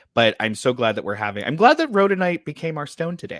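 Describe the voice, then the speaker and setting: Animated and fairly quick, the speech shows very wide pitch swings in a very clean recording with a silent background. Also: man. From US Midwest, Ohio. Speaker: podcast host and author. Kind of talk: casual chat.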